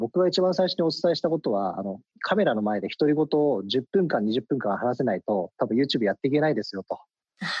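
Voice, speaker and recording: At a fairly quick pace, a man of medium pitch speaks with very wide pitch swings, and the sound is dry and close with no echo. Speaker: company CEO. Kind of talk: radio interview.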